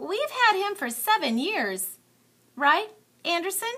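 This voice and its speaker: Putting on a squeaky character voice, a woman speaks at an extremely high pitch and fairly slow pace, with very wide pitch swings and a warm tone. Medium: read story. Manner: warm, certain.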